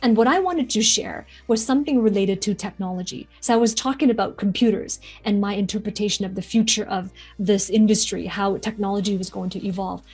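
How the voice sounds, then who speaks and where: Over music in the background, a woman talks at a very fast pace with a medium pitch and ordinary pitch variation. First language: not English. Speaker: public speaking coach. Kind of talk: motivational talk to camera.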